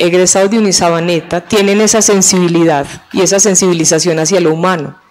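This woman's voice sits at a medium pitch. Her pace is fairly quick. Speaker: law school dean. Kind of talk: TV interview. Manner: enthusiastic. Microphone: handheld.

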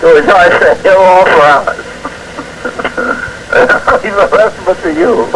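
The speech comes at a fairly slow pace, broken by long, frequent pauses. Loud background noise fills the recording. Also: man. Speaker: veteran news broadcaster. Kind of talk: radio newscast. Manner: authoritative news delivery, sometimes breaking into laughter. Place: studio. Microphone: old recording.

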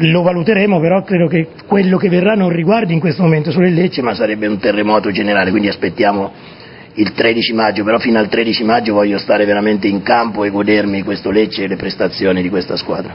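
A man at a medium pitch, very fast, with very wide pitch swings and noticeable background noise. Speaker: football coach. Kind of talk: TV interview answer. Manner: voice changes suddenly while speaking.

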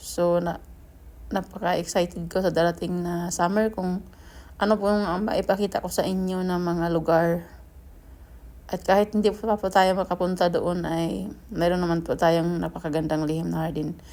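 On a very clean recording with a silent background, a woman speaks in a dark, mellow tone. Her fairly low voice stays monotone and flat. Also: moderate pace. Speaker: gardening vlogger. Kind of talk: vlog narration. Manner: halting.

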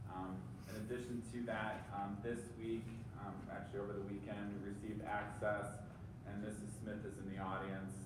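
Audible room echo and noticeable background noise behind a man at a moderate pace. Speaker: superintendent giving a report. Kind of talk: formal meeting report. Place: meeting room.

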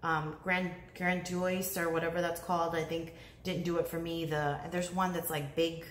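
A fairly low-pitched woman's voice with light background noise and audible room echo. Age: 30s. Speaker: beauty YouTuber. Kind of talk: casual vlog talk to camera. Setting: home living room, talking to camera. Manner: chatty, rambling with fillers. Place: home room. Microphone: phone near.

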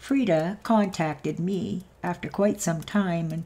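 A woman talks at a fairly low pitch in a dark, mellow tone with ordinary pitch variation. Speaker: channel host narrator. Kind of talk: story reading narration.

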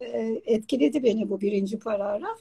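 Somewhat breathy and fairly high-pitched, a woman speaks at a fairly slow pace with a dark, mellow tone over a quiet background. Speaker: online talk show host. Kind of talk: live interview. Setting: video call. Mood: warm, enthusiastic. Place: home room. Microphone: video call.

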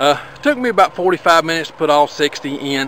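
Speaking at a fairly slow pace, a man has a bright, sharp tone and lively intonation.

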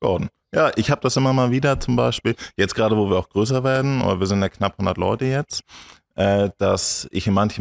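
The background is quiet. A man talks at a fairly quick pace, his pitch varying in an ordinary way. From northern Germany, Schleswig-Holstein. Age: 20s. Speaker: entrepreneur; podcast guest. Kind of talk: interview. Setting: on his farm. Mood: relaxed, friendly. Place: studio. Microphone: studio mic.

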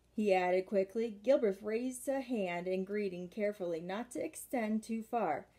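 The reading is done aloud in a natural voice, with pitch shifting a typical amount.

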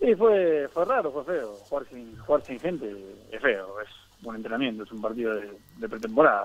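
A man speaks with an Argentine accent. His pitch sits in the medium range. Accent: Argentine Spanish (Rioplatense). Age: 30s. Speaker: professional footballer. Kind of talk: interview.

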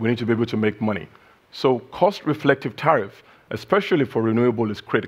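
The pace of this man's speech is moderate. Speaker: keynote speaker. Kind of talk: keynote speech. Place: hall. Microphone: headset.

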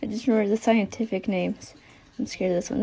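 This woman has a fairly high pitch. Her voice is somewhat breathy, with a dark, mellow tone. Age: 20s. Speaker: tarantula keeper. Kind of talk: casual talk to camera. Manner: hesitant, occasional stutter. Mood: nervous, a bit scared. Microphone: phone near.

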